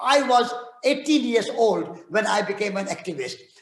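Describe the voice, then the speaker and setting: A man talks at a moderate pace in an extremely high pitch. His intonation is lively, and the room echo is audible. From India (Rajasthan). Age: 80s+. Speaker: peace activist and author. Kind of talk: talk and audience Q&A. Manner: halting with repetitions.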